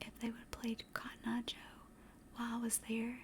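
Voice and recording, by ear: Speaking in a Southern US accent, a woman has a fairly high pitch and a slightly mellow tone. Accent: Southern American.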